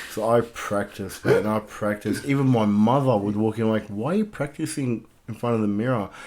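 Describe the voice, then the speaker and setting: A man with an Australian accent, medium pitch and fairly even intonation, at a fairly quick pace with hardly any pauses. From Southwest Sydney, Australia (migrant as child). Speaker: life coach and gym owner. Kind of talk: podcast interview.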